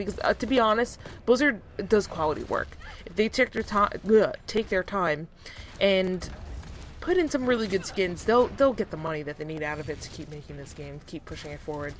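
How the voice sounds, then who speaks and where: The speaker talks at a fairly quick pace. The pitch swings very widely. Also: woman. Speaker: gaming YouTuber. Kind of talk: casual video commentary. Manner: fast.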